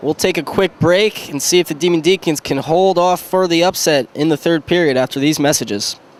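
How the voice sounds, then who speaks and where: Noticeable background noise accompanies a man speaking in a high pitch with ordinary pitch variation, the sound dry and close with no echo. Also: hardly any pauses. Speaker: hockey play-by-play announcer. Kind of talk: live sports play-by-play commentary.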